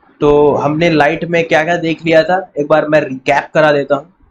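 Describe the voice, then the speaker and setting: A fairly high-pitched man at a fairly slow pace, in a monotone, flat intonation. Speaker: physics teacher. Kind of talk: lecture.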